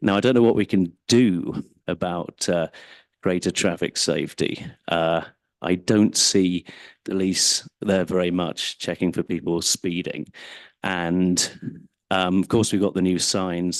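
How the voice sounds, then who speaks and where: Someone with an English accent talks fairly slowly with fairly even intonation, in a dry, close sound with no echo against a quiet background. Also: man, very deep, low pitch for a man. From England. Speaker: member of the public giving comment. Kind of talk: public comment at council meeting. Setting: city council meeting, microphone at podium.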